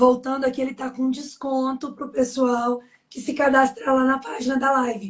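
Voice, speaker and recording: This is a woman speaking. Her pitch is high. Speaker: live stream host. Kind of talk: closing remarks of a live webinar.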